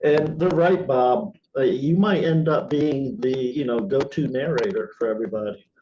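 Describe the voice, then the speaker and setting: A man with a fairly high pitch and an ordinary speaking voice talks at a moderate pace with lively intonation and hardly any pauses. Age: 60s. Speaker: playwright and group organizer. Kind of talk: casual chat. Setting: video call.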